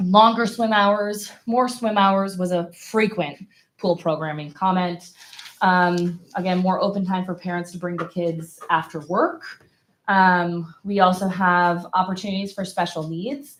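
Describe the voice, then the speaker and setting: A woman speaks at a medium pitch and a fairly slow pace. It is a normal speaking voice. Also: fairly even intonation. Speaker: survey presenter. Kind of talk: report presentation at school board meeting. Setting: public meeting.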